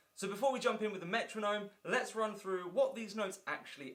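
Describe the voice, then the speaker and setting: Talking at a fairly quick pace, a man with an English accent has a high pitch and a bright, sharp tone. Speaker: guitar teacher. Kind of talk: tutorial. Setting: indoor room with filming lights. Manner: fast.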